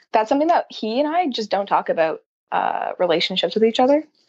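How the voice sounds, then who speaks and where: Lively intonation runs through a woman's unremarkable speaking voice. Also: quiet background. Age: 20s. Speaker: caller. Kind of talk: personal question on a call-in show.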